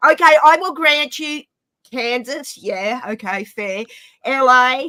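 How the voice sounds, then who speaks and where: Speaking very slowly in a raised, projected voice, a woman uses lively intonation with a high pitch and a bright, sharp tone. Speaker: livestream participant, football fan. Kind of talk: casual chat.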